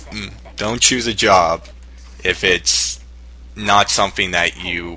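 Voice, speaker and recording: Very deep and low in pitch, a man speaks with lively intonation. Noticeable background noise sits behind him. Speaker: YouTuber. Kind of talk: response video advice monologue. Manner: halting; casual.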